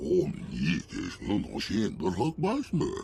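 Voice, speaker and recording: Over clear background noise, a man growls in a put-on character voice at a fairly slow pace. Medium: video game. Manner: speaks an alien language.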